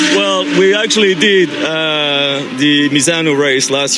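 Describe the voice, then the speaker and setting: A man with a French accent and a fairly high pitch, amid noticeable background noise and audible room echo. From France. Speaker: amateur racing driver. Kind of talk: interview. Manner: halting, many fillers.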